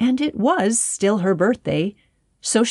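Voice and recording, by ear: With ordinary pitch variation, someone reads aloud in a natural voice while the background stays quiet.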